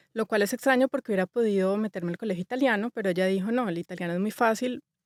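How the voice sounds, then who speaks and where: A woman at a very fast pace with a Bogotá accent, in a dry, close sound with no echo, on a very clean recording with a silent background. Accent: Bogotá (rolo). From Colombia, Bogotá. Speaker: interior designer. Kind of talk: interview.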